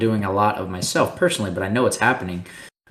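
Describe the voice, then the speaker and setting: A plain, everyday voice, this man speaks with an American accent at a fairly low pitch and with fairly even intonation. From Texas, Austin. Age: 30s. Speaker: pro paintball player. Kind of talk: casual interview.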